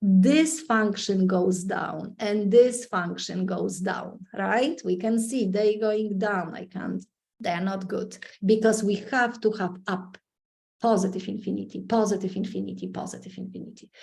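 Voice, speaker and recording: A woman speaks at a fairly slow pace with a medium pitch and vocal fry. Her pitch varies in an ordinary way. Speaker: math teacher. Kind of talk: lecture. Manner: loud.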